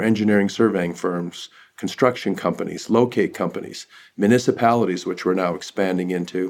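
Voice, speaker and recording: A man talks at a fairly quick pace in a normal speaking voice with fairly even intonation. The recording is very clean, with a silent background. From northern British Columbia, Canada. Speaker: tech company CEO. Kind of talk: interview.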